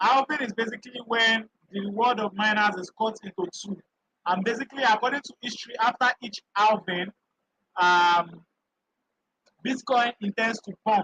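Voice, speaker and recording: A man with a high, raised, projected voice and a bright, sharp tone talks at a moderate pace with fairly even intonation. His loudness swings a lot, long pauses come often, and the sound is dry and close with no echo. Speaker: crypto trading educator. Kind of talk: live stream tutorial.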